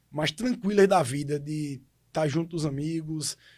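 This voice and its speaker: This man's voice sits fairly high and is somewhat breathy, with ordinary pitch variation, captured in a very clean recording with a silent background. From Pesqueira, Pernambuco, Brazil. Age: 30s. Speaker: city councillor and lawyer. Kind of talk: podcast interview.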